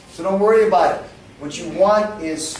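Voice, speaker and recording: Noticeable background noise and audible room echo surround the recording. A man speaks in a New York accent. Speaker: English teacher. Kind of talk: lecture.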